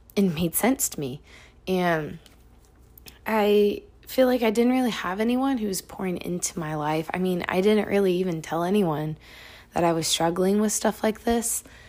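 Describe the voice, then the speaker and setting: In a normal speaking voice, a woman of medium pitch talks at a moderate pace with ordinary pitch variation. The recording is very clean, with a silent background. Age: 20s. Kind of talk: devotional talk. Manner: casual.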